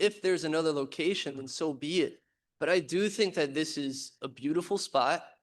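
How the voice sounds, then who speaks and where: Against a quiet background, a man talks at a fairly quick pace. His pitch is fairly high, with ordinary variation. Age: 20s. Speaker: public commenter. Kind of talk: public comment. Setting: public meeting. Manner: nervous, halting.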